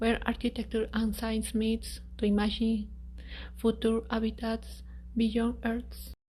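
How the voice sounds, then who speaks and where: In a non-native accent, a woman speaks very slowly at a very even loudness. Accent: non-native English speaker. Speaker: architect presenting a space habitat design. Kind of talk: presentation.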